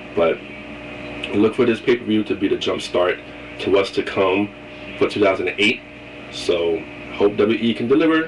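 A man's voice comes through. Background noise is noticeable. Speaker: wrestling vlogger. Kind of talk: casual video monologue with predictions. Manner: animated, opinionated fan.

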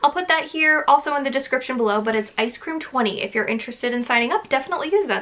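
A high-pitched woman's voice, very fast and with lively intonation. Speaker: YouTuber reviewing a subscription box. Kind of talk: casual vlog chat. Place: home room.

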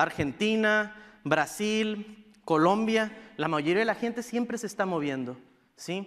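A man with a northern Mexican accent, high in pitch and bright and sharp in tone, over a quiet background. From northern Mexico (Sonora, Baja California). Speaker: tech startup program director, conference speaker. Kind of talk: conference talk. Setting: stage with audience. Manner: casual, informal. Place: stage.

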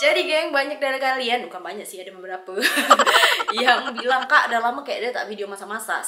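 Audible room echo surrounds a woman speaking at a high pitch. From Malay region of Sumatra, Indonesia (Batak). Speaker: cooking vlogger. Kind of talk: casual talk to camera. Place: home room. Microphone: phone near.

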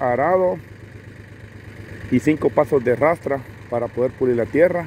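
A man speaks at a fairly slow pace with ordinary pitch variation. The sound is dry with no echo, and light background noise is present. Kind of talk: descriptive commentary. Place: open country. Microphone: phone near.

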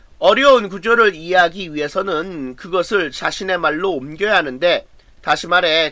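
A man speaks at a high pitch in a bright, sharp tone with lively intonation. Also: quiet background. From South Korea. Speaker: high school English teacher. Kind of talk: lecture. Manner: measured reading of translations. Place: home room.

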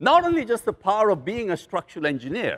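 The tone is fairly bright and the pace fast. Pitch swings very wide. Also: man.

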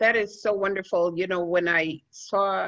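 A woman talks with monotone, flat intonation. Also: quiet background. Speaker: panel moderator. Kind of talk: moderated panel discussion. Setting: video call. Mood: warm, appreciative. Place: home room. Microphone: video call.

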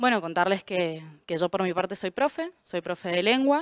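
Recorded dry with no echo against a quiet background, the speaker moves at a fairly quick pace with ordinary pitch variation. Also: woman. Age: 20s. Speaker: political candidate, secondary school teacher; candidate, teacher. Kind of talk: campaign statement. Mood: earnest, combative. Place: studio. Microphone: handheld.

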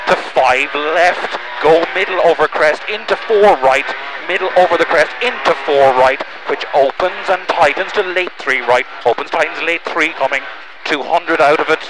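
Dry with no echo, the voice moves at a fairly slow pace over noticeable background noise. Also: man. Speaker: rally co-driver. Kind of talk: pace note calls. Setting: in rally car during stage. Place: car. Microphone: headset.

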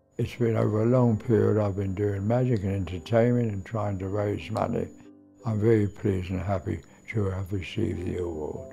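Moderate pace and fairly even intonation, with faint music in the background. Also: man, fairly low pitch for a man. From London. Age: 80s+. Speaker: magician. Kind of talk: interview monologue. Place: home room.

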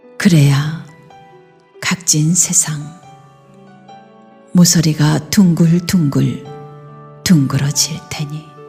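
Music plays behind a woman whose very deep, low voice moves at a very slow pace in a calm, soothing tone, her intonation monotone and flat, with long, frequent pauses. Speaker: poetry reciter. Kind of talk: poetry reading.

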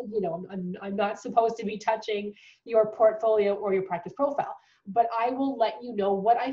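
This woman's voice is somewhat breathy and fairly high in pitch. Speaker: dental hygiene tutor. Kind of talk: casual talk to camera.

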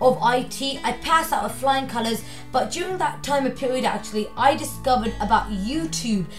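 A woman speaks in a high voice at a moderate pace. Clear music plays in the background. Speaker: vlogger. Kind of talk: casual vlog chat. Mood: annoyed, ranting about college. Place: home room. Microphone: phone near.

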